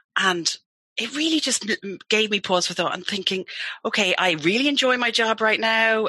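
Her tone bright and sharp, a woman speaks at a moderate pace. Her pitch swings very widely. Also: dry, close sound with no echo. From England. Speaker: team building business owner. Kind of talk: radio interview.

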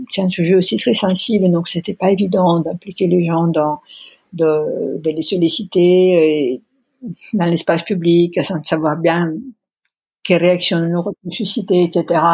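A very slow, somewhat breathy delivery in an Italian accent, dark and mellow in tone, with fairly even intonation. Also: woman. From Italy, Pisa. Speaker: art director and exhibition curator. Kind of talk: interview about career. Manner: halting, hesitant with many fillers.

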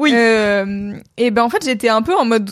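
The delivery is at a very slow pace. Its pitch variation is ordinary. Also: woman. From France. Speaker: content creator. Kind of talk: casual chat. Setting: Twitch livestream.

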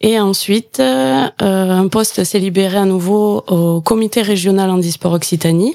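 In a southwestern French accent, a woman talks in a calm tone at a fairly slow pace, her medium-pitched voice dark and mellow, with ordinary pitch variation and very even loudness. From Gers, southwest France. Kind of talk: radio interview.

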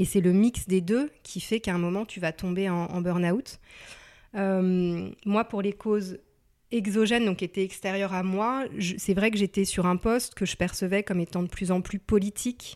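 Over a silent background in a very clean recording, a woman speaks with a normal speaking voice. Her pitch is medium, her pace moderate and her intonation fairly even. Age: 30s. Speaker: career transition coach. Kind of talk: interview.

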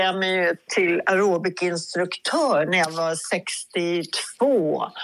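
This is a woman speaking. Her pitch sits in the middle range. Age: 70s. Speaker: DJ. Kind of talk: interview.

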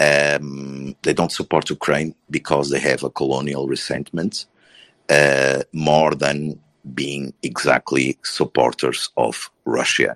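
Very deep and low in pitch, a man talks at a very slow pace in a monotone, flat intonation. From Portugal. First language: Portuguese. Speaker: panelist on political discussion. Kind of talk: live audio room discussion. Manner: halting.

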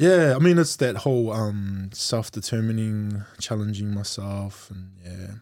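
A man with a New Zealand accent, a fairly slow pace, ordinary pitch variation and big swings in loudness, in a very clean recording with a silent background. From Auckland, New Zealand. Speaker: guest. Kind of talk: casual chat.

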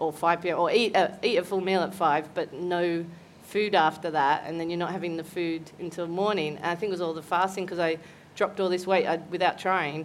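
Fairly low-pitched woman's voice, monotone and flat, at a fairly quick pace. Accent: Australian. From Australia, Newcastle NSW. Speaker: comedian. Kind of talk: casual chat. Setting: stage with audience.

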